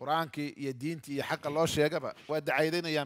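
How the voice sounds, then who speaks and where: Against a quiet background, a man talks at a moderate pace in a fairly high pitch with ordinary pitch variation. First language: Somali (speaking Arabic). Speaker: Islamic preacher teaching Quran exegesis. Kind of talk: Quran tafsir lecture. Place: hall. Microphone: headset.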